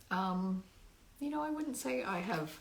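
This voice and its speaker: Noticeable background noise and audible room echo surround a woman with a fairly low pitch. She speaks fairly slowly, her pitch swinging very widely. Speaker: singer-songwriter. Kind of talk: livestream talk to viewers. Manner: projected, good breath support; halting, many ums.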